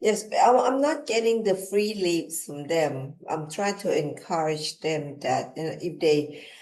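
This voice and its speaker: Speaking at a fairly slow pace with hardly any pauses, the voice has lively intonation and a Thai accent. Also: woman, fairly low pitch for a woman. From Thailand. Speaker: business executive. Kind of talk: interview.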